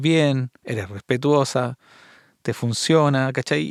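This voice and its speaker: In a very clean recording with a silent background and a dry, close sound with no echo, a man speaks at medium pitch. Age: 50s. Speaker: podcast host. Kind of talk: casual interview chat.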